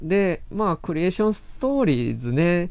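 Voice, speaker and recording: An ordinary speaking voice from a man, with lively intonation at a moderate pace. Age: 30s. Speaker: film writer. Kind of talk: solo podcast monologue.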